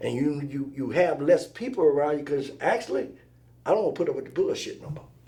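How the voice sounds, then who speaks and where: A man with an American accent talks at a very fast pace, with audible room echo. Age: 60s. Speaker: truck driver and father of the host. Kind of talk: casual chat. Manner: animated.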